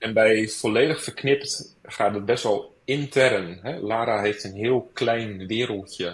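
Somewhat breathy, a man speaks very slowly with hardly any pauses. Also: medium pitch for a man, ordinary pitch variation. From Rotterdam, Netherlands. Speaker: author. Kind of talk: interview. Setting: online recording.

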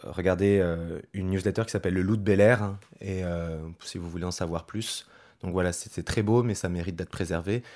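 A man with a very deep, low voice speaks at a fairly quick pace. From western France, Loire-Atlantique. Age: 30s. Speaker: colleague who moved to the countryside. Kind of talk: interview testimony. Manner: casual, halting.

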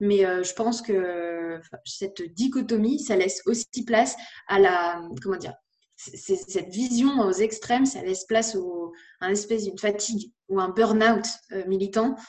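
Pitch varies in an ordinary way while the words come at a fairly slow pace. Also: woman, medium pitch for a woman. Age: 20s. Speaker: content creator and author. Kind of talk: interview. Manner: halting.

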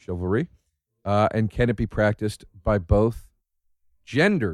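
In an American accent, a man with a fairly low pitch speaks at a fairly slow pace in an animated tone. The sound is dry and close, with no echo. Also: very clean recording, silent background. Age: 30s. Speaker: comedian, podcast host. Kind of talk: casual chat. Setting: studio.

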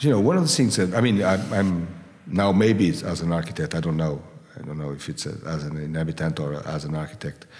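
Speaking very fast with a Portuguese accent, a man uses a very deep, low pitch and ordinary pitch variation. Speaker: architect. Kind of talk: interview conversation. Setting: architect's atelier. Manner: halting, with repetitions.

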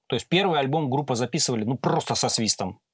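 On a very clean recording with a silent background, a man at a medium pitch speaks at a very fast pace with lively intonation. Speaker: sound engineer. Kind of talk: casual chat. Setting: studio.

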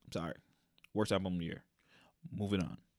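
An animated tone on a very clean recording with a silent background. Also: man. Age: 20s. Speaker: podcast host. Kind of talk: casual solo commentary.

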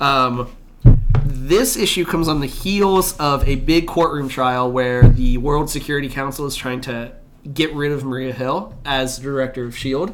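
Noticeable background noise and audible room echo surround a man whose pitch sits fairly high. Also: ordinary pitch variation, moderate pace. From Canada. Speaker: podcast co-host. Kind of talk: casual chat.

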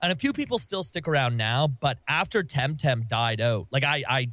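A man speaks fairly quickly in an animated tone. The recording is very clean and the background silent. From Canada. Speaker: gaming content creator. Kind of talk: casual chat.

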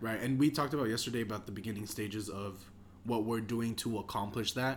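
At a fairly quick pace, a man talks at medium pitch in a normal speaking voice. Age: young. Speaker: podcast co-host and clothing shop worker. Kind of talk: casual chat.

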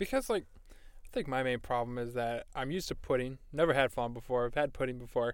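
At a fairly quick pace, a man with a plain, everyday voice speaks at medium pitch with fairly even intonation. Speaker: podcast co-host. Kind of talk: casual chat. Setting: studio booth.

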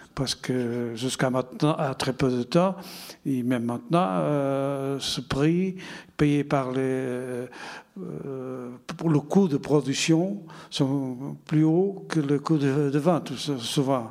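A man talks at a very slow pace. His voice is fairly high in pitch and shows ordinary variation. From Portugal, Porto. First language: Portuguese (speaking French). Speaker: winegrower. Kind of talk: panel discussion.

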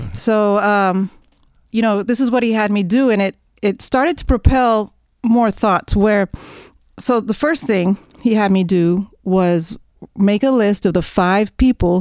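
A woman with an American accent speaks at medium pitch and a fairly slow pace, using ordinary pitch variation in an unremarkable speaking voice. The recording is very clean with a silent background. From Oklahoma, near Oklahoma City. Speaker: jazz saxophonist. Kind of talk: interview.

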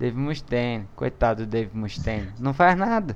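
Pitch swings very widely as a man talks at a fairly slow pace. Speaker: podcast host and editor. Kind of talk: casual chat.

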